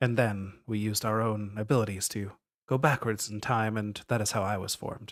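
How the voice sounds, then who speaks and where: Putting on a character voice, a man speaks at medium pitch and a moderate pace. The voice sounds strained. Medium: actual play. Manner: restrained, little emotion.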